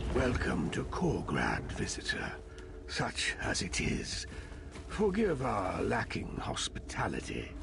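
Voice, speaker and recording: In a put-on character voice, the speaker goes at a fairly slow pace over loud background noise. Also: man. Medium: machinima. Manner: formal, archaic, measured.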